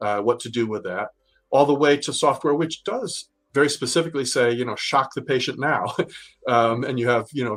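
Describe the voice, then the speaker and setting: A man's medium-pitched voice at a fairly quick pace, with ordinary pitch variation and a very clean recording over a silent background. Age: 60s. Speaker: healthcare regulatory lawyer. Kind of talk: interview. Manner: hesitant, many fillers and repeats.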